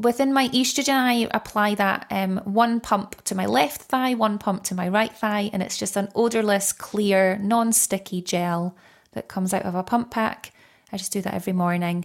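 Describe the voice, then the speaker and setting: Heard on a very clean recording with a silent background, a woman with a plain, everyday voice speaks at a moderate pace and medium pitch with ordinary pitch variation. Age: 30s. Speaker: menopause coach. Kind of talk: interview conversation.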